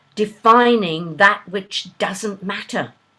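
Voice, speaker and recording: A woman with an Australian accent, very slow in pace, with very wide pitch swings. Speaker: poet. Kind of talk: poetry reading. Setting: video call.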